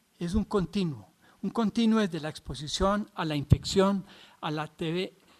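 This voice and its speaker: With a Colombian accent, a man speaks at a moderate pace and a high pitch. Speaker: physician lecturer. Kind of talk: lecture. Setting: videoconference. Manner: halting, many fillers and restarts.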